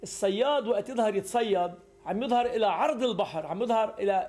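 The pace is moderate. Faint music sits in the background. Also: man. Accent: Lebanese. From Lebanon. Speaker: interviewee. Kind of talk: news interview. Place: home room.

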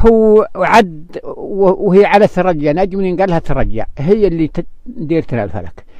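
At a very slow pace, a man with a high pitch and ordinary pitch variation speaks in a dark, mellow tone, with a dry sound with no echo and a quiet background. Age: 80s+. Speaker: desert herder; interviewee. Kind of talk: casual interview. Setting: outdoors. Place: open country. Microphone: handheld.

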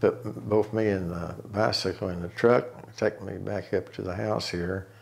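A man speaks in an Ozark accent. His pitch sits fairly low, with ordinary variation. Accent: Ozarks Arkansas. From Tontitown, Arkansas. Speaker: oral history interviewee. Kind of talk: oral history interview, reminiscing life story. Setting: interview, sitting at home. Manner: slow, reflective; halting, with fillers and repeats. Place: home room.

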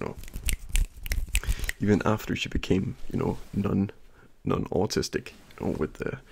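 Soft-spoken and with vocal fry, a man talks with lively intonation. Light background noise sits behind him. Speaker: ASMR creator. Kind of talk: ASMR soft-spoken talk between mouth sounds. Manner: casual, rambling chat. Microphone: studio mic.

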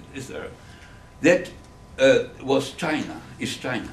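With a German accent and vocal fry, a man talks at a very slow pace, with light background noise and audible room echo. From Germany. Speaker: Holocaust survivor and author. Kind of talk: public lecture. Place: classroom. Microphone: camera far.

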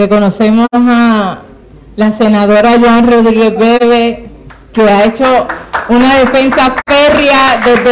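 There is noticeable background noise as a woman speaks in a high pitch with fairly even intonation. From Puerto Rico. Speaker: legislator; event host. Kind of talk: formal speech. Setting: legislative chamber with audience. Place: meeting room. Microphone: handheld.

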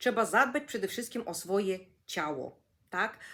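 Speaking at a moderate pace, a woman uses an animated tone with vocal fry. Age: 50s. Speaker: energy coach and neurographics instructor. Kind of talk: vlog monologue.

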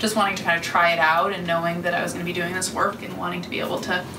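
Over noticeable background noise, a woman talks at a very fast pace. Her voice is fairly low with fairly even intonation. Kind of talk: presentation talk to small audience. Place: office. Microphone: camera far.

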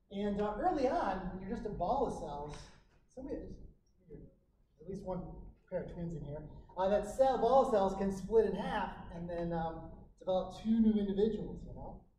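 This man's high voice has a dark, mellow tone and ordinary pitch variation, moving at a moderate pace with long, frequent pauses and big swings in loudness, over light background noise and audible room echo. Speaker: physiology instructor. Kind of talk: lecture. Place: classroom. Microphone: camera far.

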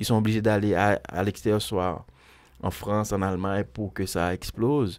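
An ordinary speaking voice from a man, fairly low in pitch, with fairly even intonation at a moderate pace against a quiet background. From Haiti. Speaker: musician; guest. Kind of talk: interview. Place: studio. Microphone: studio mic.

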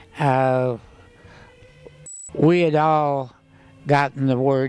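Faint music plays in the background as a man speaks at a medium pitch with fairly even intonation, the sound dry with no echo. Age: 80s+. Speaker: war veteran; former co-pilot. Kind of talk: interview answer. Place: hall. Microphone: handheld.

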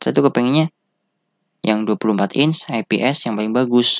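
This man has an unremarkable speaking voice, medium in pitch, with ordinary pitch variation and a moderate pace. The sound is dry and close, with no echo. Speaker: tech reviewer. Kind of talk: casual product review, unscripted. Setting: home recording with camera. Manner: casual, rambling, informal slang.

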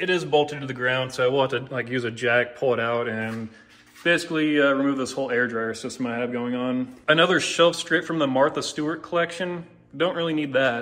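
The man talks at a fairly quick pace. His pitch variation is ordinary. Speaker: garage owner vlogger. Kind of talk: casual vlog chat. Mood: relaxed, lightly joking. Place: garage. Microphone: phone near.

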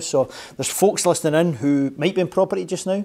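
The speech goes very fast, with ordinary pitch variation. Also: man. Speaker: show host. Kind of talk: interview show introduction. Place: studio.

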